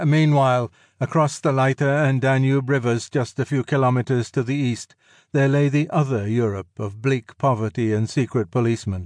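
A man with a normal speaking voice, medium pitch and ordinary pitch variation at a moderate pace, in a dry, close sound with no echo and a quiet background. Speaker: audiobook narrator. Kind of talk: audiobook narration of a history book, read aloud. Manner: measured, formal, even-paced literary delivery.

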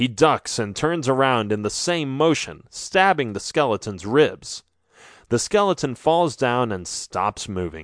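A dramatic, animated tone with very wide pitch swings comes through over a quiet background. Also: man, medium pitch for a man, fairly slow pace. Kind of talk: scripted audiobook narration of a children's adventure story. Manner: dramatic, animated storytelling with sound effects and character lines.

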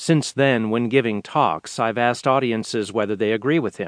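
In a normal speaking voice, a man talks at medium pitch and a moderate pace. The sound is dry and close with no echo and a quiet background. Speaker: audiobook narrator. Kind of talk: audiobook reading of a business article, formal and polished. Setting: studio. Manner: measured, steady, clear; formal, authoritative.

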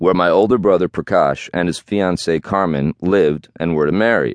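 With a dramatic tone, this man speaks at a very deep, low pitch with ordinary pitch variation. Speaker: memoir author. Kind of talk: dramatic narration, reading aloud from memoir. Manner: dramatic, confessional, building tension; wry, candid, self-mocking.

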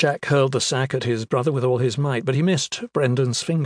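Reading in a natural voice

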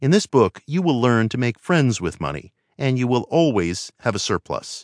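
A man speaks in a warm, calm tone at a medium pitch, with very wide pitch swings. The sound is dry and close, with no echo. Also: quiet background. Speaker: audiobook narrator. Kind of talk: audiobook narration, reading aloud a self-help text. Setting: studio. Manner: measured, earnest, calm and steady; warm, persuasive, inspirational, formal.

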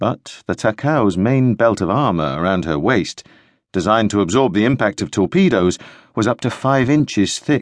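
A man speaks at a moderate pace in a fairly low, dramatic voice with lively intonation. The sound is dry and close with no echo, against a quiet background. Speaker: audiobook narrator. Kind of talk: audiobook narration of military history. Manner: steady, dramatic, tension-building narration.

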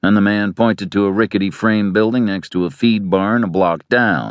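Fairly low for a man, his voice takes a dramatic tone at a moderate pace. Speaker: audiobook narrator. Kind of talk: dramatic audiobook narration of a western, reading prose and character dialogue. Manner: gravelly-toned, measured storyteller pace; shifts into gruff characters for dialogue; dramatic, vivid, tense and atmospheric delivery.

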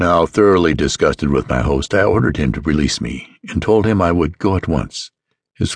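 The speaker's voice shows vocal fry and very wide pitch swings. The pace is moderate. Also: man. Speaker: audiobook narrator. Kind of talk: dramatic audiobook narration, first-person gothic horror read aloud. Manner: formal, measured, old-fashioned literary delivery.

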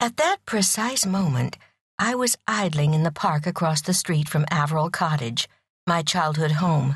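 Somewhat breathy and fairly low-pitched, a woman speaks at a moderate pace with lively intonation and very even loudness. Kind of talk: audiobook narration reading a novel aloud.

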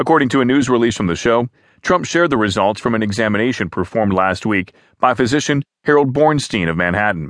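Against a quiet background, a man at medium pitch talks at a very fast pace with lively intonation. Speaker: news narrator. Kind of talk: formal news reading of written articles, scripted and neutral. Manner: even, measured, steady newsreader pace with neutral delivery; formal, clear enunciation, reads quotes without acting.

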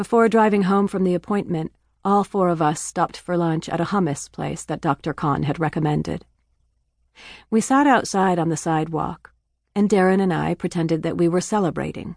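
In an ordinary speaking voice, a woman talks at a fairly quick pace and a fairly low pitch with ordinary pitch variation, recorded dry and close with no echo against a quiet background. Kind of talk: audiobook narration. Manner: even, measured storytelling pace, warm and earnest; gently emotional, reflective, restrained.

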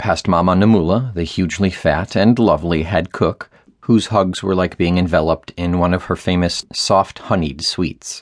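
A man with a very deep, low pitch speaks at a moderate pace with hardly any pauses. His intonation is fairly even, and the background is quiet. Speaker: audiobook narrator. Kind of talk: dramatic audiobook narration of a children's adventure novel. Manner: vivid storytelling, shifting into distinct character voices for dialogue; measured, descriptive pacing building suspense in action scenes.

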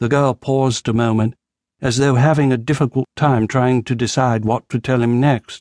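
Against a quiet background, a natural reading voice moves with fairly even intonation.

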